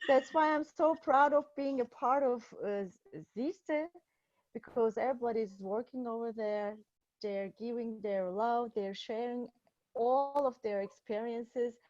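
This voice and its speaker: A woman speaks at a fairly slow pace in a Turkish accent. Her pitch is high, with ordinary pitch variation. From Turkey, Istanbul. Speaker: psychiatrist. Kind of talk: conference presentation. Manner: halting, many fillers.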